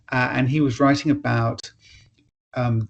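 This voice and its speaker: A man with an English accent sounds somewhat breathy. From England. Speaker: author. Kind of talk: casual chat. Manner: halting.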